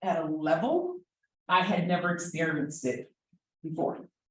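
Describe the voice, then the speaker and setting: A woman with a New Jersey accent speaks at a fairly slow pace in a somewhat breathy, fairly low voice. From New Jersey, South Jersey. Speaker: special education advocate. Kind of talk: conference presentation.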